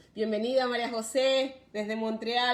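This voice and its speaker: A woman's fairly high voice with a Venezuelan accent, over noticeable background noise. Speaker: live stream host on parenting and migration. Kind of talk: live stream talk. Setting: live video stream.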